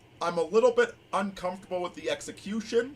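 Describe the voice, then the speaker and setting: A man with a high voice talks while noticeable noise sounds behind him. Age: 40s. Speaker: livestream host. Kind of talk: casual chat. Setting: livestream.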